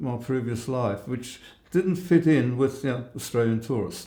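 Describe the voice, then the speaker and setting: The voice has a dark, mellow tone, ordinary pitch variation and a moderate pace, with audible room echo. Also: man. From central Europe, Germany and Czech Republic, later Australia. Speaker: Holocaust survivor. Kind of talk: interview. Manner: halting.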